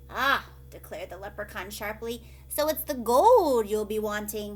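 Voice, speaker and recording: At a moderate pace, a woman speaks in a put-on character voice. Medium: read story.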